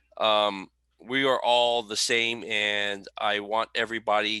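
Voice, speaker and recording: In a very clean recording with a silent background and a dry, close sound with no echo, a man speaks very slowly in a fairly low pitch, his bright, sharp tone delivered in a monotone, flat intonation. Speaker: autograph collector and community founder. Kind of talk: casual interview chat. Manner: mumbling.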